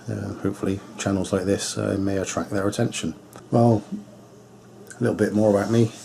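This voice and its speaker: Over noticeable background noise, a man speaks at a moderate pace in a fairly low voice. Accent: Bristolian. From England, Bristol. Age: 50s. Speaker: hot rod vlogger. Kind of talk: casual vlog talk to camera. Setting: home radio shack. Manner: hesitant, many fillers.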